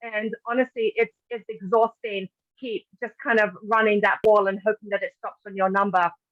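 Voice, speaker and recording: A woman with a British accent at a fairly quick pace with ordinary pitch variation, in a dry, close sound with no echo. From Britain. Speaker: patient advocate. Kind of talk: webinar presentation. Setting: online webinar.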